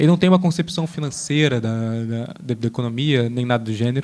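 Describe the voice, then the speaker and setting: The man keeps his speech at a moderate pace. His intonation rises and falls in a lively way. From Brazil. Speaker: literature lecturer. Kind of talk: lecture. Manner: halting.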